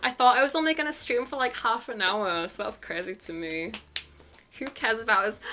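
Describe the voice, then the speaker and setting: A woman with a fairly high pitch and lively intonation talks over noticeable background noise. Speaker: VTuber streamer. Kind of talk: casual livestream chat. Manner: slow and drawn-out.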